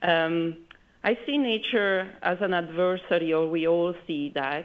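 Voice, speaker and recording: Delivered fairly slowly, the speech shows ordinary variation in pitch. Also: woman. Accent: Italian. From Italy. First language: Italian. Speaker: architect, conference speaker. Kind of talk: conference presentation.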